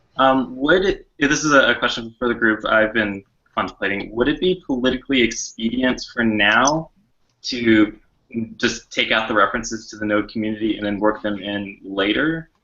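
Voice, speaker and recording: The speaker is a man with medium pitch. His pitch varies in an ordinary way. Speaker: working group member. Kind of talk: group meeting discussion. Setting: video call. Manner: fast.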